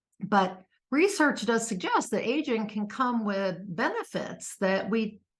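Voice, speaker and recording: The background is quiet. A woman's voice is somewhat breathy. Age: 60s. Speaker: author and personal growth vlogger. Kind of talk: casual talk to camera. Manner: halting, many fillers.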